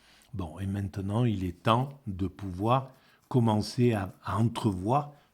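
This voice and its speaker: Over a silent background in a very clean recording, a man speaks very slowly in a fairly low, somewhat breathy voice with a dark, mellow tone and fairly even intonation. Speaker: philosophy video blogger. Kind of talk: spoken commentary on a book. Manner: halting, many repetitions.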